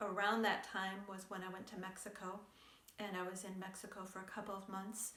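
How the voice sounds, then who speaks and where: Amid noticeable background noise and audible room echo, a woman speaks at a moderate pace in a medium pitch. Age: 60s. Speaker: yoga and lifestyle vlogger. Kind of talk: casual chat. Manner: conversational with hesitations.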